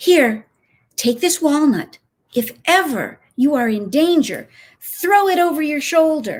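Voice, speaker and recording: Here a woman uses a put-on character voice at a high pitch. Her pace is fairly slow. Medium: read story.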